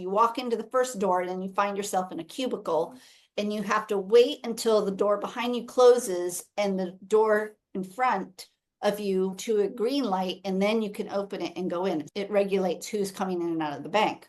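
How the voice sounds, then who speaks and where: At a moderate pace, a woman with an American accent uses a normal speaking voice at medium pitch, with ordinary pitch variation. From United States. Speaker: podcast host, missionary. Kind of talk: casual chat.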